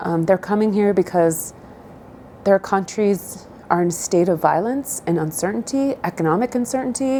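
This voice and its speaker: Against noticeable background noise, a woman with a medium pitch talks at a moderate pace with lively intonation. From southern Idaho, US. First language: Spanish. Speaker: interviewee. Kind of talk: interview answers. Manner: hesitant, many fillers.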